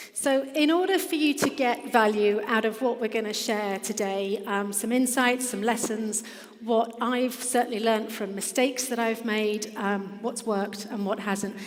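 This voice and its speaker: With an English accent, a woman talks with hardly any pauses over noticeable background noise and audible room echo. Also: fairly high pitch for a woman, ordinary pitch variation, moderate pace. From England. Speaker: business founder. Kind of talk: conference presentation. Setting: stage with audience.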